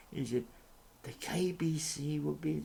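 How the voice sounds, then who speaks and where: A man's dark, mellow, somewhat breathy voice moves through very wide pitch swings. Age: 60s. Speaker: YouTube commentator. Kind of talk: opinion monologue. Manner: halting.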